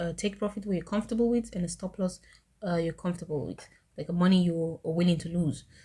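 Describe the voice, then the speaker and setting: A dark, mellow, somewhat breathy voice at a very fast pace on a very clean recording with a silent background. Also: woman. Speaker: trading tutorial youtuber. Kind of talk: screen-recorded tutorial. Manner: casual with frequent fillers.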